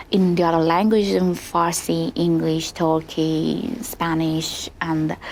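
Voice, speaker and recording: Speaking with a Persian accent, a woman keeps a fairly slow pace, fairly low pitch and fairly even intonation. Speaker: opera singer. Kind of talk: interview. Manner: halting.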